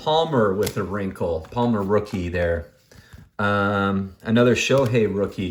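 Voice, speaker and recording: A very clean recording with a silent background holds speech that moves very slowly. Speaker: sports card collector and seller. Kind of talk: casual unboxing video.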